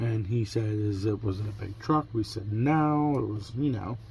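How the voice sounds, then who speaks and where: Somewhat breathy and fairly low, a man's voice moves at a moderate pace with ordinary pitch variation. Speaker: crafting vlogger. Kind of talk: casual vlog chat. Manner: conversational, rambling storytelling.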